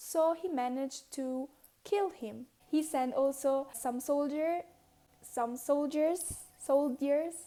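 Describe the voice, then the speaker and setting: In a non-native accent, a woman with a high pitch and a dark, mellow tone speaks at a very slow pace with ordinary pitch variation. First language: not English. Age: 20s. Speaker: dancer. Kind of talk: casual history storytelling to camera.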